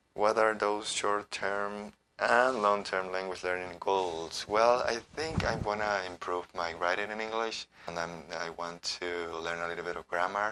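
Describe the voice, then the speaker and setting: Speaking with an Ecuadorian accent, a man uses a fairly low pitch and a bright, sharp tone, going at a fairly slow pace with hardly any pauses. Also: ordinary pitch variation. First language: Spanish. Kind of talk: casual talk to camera.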